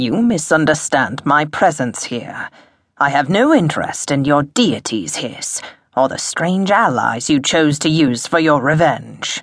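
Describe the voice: Putting on a character voice, a woman speaks at a fairly slow pace in a low pitch with big pitch swings and a slightly husky edge, on a very clean recording with a silent background.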